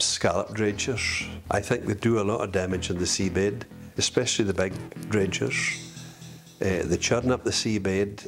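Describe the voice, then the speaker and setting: Over music in the background, a man speaks at a moderate pace with a fairly low pitch. His intonation is fairly even and his loudness very even. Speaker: fisherman. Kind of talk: interview answer.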